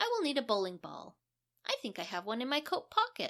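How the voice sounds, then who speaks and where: A put-on character voice with a fairly quick pace. The pitch swings very widely. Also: woman. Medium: read story. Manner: breezy, nonchalant.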